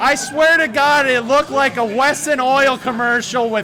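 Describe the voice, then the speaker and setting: Over crowd noise in the background, a man speaks at a fairly slow pace in a raised, projected voice with an extremely high pitch. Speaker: esports caster. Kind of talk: live commentary. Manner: loud; animated.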